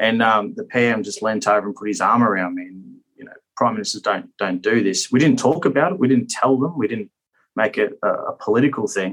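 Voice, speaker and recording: A man with an Australian accent speaks at a fairly quick pace, with big swings in loudness. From Australia (Queensland). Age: 30s. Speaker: politician and war veteran. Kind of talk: interview. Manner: halting.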